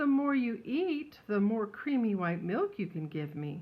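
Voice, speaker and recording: A female-sounding put-on character voice talks at a moderate pace. Its pitch swings very widely. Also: fairly high pitch for a woman. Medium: read story.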